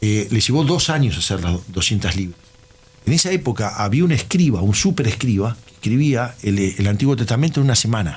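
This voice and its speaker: With a Uruguayan accent, a man talks fairly quickly at a medium pitch, his voice swinging very widely, against noticeable background noise. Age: 60s. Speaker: systems engineer. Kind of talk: casual chat.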